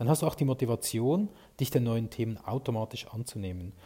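With lively intonation, a man speaks at a moderate pace in a somewhat breathy voice with a dark, mellow tone. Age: 40s. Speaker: podcast host and sales consultant. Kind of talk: solo podcast monologue.

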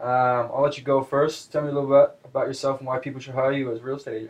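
Speaking at a very fast pace, a man with an American accent sounds somewhat breathy. His pitch is fairly high. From Seattle, US Pacific Northwest. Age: 20s. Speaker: real estate agent. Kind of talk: casual chat.

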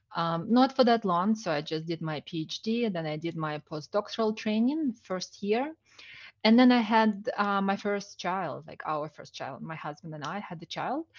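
Over a quiet background, a woman speaks at a moderate pace and medium pitch, with big swings in loudness. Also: lively intonation. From outside Canada. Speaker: business consultant. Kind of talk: interview. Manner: hesitant, many fillers.

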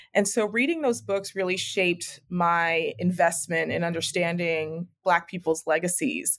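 In a plain, everyday voice, a woman with a fairly low pitch and ordinary pitch variation talks at a fairly slow pace with hardly any pauses, on a very clean recording with a silent background. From US, Mexican-American. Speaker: history professor. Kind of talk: interview. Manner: frequent fillers (um).

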